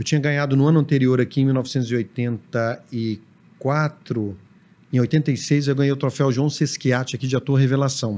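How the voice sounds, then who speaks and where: This man has a medium pitch and a dark, mellow tone. He talks at a fairly slow pace with fairly even intonation. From Brazil, Belo Horizonte (Minas Gerais). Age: 40s. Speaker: TV drama director. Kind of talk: casual chat.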